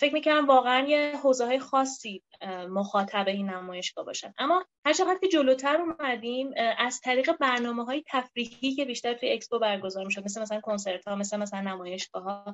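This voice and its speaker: Her intonation lively, a woman talks in a high voice. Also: fairly quick pace. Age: 20s. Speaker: speech therapist and researcher. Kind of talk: interview.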